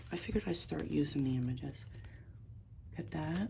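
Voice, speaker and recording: A quiet woman at a fairly quick pace, with audible room echo. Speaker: crafter and online seller. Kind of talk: casual craft flip-through. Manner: quiet, talking low; casual, meandering.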